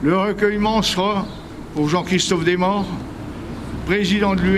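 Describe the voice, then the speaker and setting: Noticeable background noise and audible room echo around a man's voice, high in pitch. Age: 70s. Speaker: veterans association representative. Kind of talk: ceremony speech.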